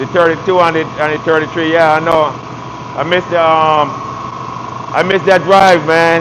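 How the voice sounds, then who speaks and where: A man's fairly high voice with a Barbadian accent, moderate pace and long, frequent pauses, plus audible room echo and noticeable background noise. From Barbados. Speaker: auto body repair youtuber. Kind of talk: live stream tutorial and casual chat. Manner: animated.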